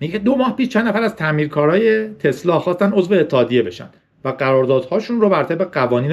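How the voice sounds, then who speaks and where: This man's pitch swings very widely. He rattles along at a very fast pace. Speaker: tech podcast host. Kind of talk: casual solo podcast monologue. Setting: recording on a tablet with a separate camera.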